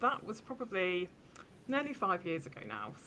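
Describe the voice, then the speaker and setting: In a British accent, a woman talks at a moderate pace. Her tone is bright and sharp, with lively intonation. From England, Bedford. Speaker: social media marketing consultant. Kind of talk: podcast interview.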